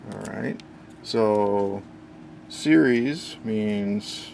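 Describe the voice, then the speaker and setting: A man talks in a fairly low register while background noise is clearly audible. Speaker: electronics hobbyist. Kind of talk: casual technical demo narration.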